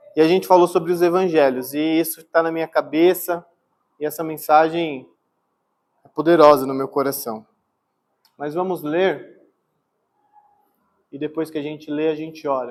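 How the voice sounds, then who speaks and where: Long, frequent pauses and big swings in loudness. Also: man, fairly high pitch for a man, moderate pace. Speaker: pastor. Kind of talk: sermon. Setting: church. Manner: soft-spoken; calm, not energetic.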